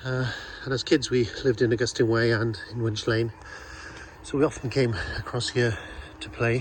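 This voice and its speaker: A South Welsh accent delivered in a flat monotone at a moderate pace, broken by long, frequent pauses, with noticeable noise in the background. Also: man, medium pitch for a man. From Wales, Pembrokeshire (Haverfordwest). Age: 60s. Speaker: local vlogger. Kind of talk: casual walking vlog narration. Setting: outdoors, walking around town.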